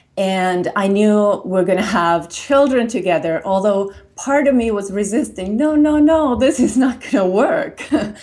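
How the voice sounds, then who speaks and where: A woman speaks with a Finnish accent. She leaves hardly any pauses. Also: medium pitch for a woman, lively intonation, moderate pace. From Finland. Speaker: radio host and advisor. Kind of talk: personal testimony.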